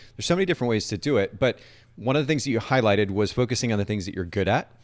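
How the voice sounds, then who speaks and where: Speaking at a very fast pace, a man with a medium pitch uses lively intonation. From grew up in Japan. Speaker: podcast host. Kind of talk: live-streamed podcast interview. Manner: animated.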